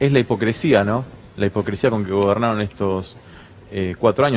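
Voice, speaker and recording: A man with a plain, everyday voice, fairly low in pitch, at a fairly quick pace with ordinary pitch variation. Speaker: small business association representative. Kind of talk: TV panel discussion.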